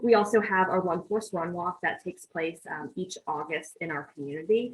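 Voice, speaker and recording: Her voice is somewhat breathy. This woman shows ordinary pitch variation. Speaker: nonprofit representative. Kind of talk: presentation at a meeting. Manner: fast.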